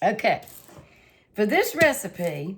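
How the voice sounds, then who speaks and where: Speaking very slowly, a woman talks with a Southern US accent. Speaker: home cooking channel host. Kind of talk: cooking tutorial. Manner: casual, chatty.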